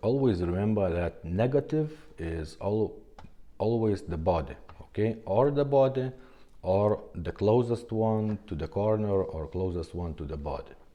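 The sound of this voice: A man with a fairly low pitch and a dark, mellow tone talks at a fairly slow pace with lively intonation.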